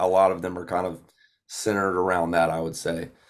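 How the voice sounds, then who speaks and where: Someone with a Southern US accent speaks at a fairly quick pace on a very clean recording with a silent background. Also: man. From Georgia, US (Gainesville). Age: 20s. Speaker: country singer-songwriter. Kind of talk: casual interview chat.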